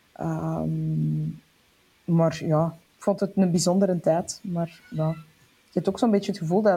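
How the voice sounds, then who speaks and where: The voice is dark and mellow, somewhat breathy, with fairly even intonation at a fairly slow pace. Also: woman. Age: 40s. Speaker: entrepreneur and author. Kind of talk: casual interview.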